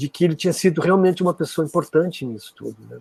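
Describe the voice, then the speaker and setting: The recording sounds dry and close, without echo. It features a man talking. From Brazil, interior of Rio Grande do Sul (border region). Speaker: musician. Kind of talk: interview, casual reminiscing. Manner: halting, with frequent fillers and restarts.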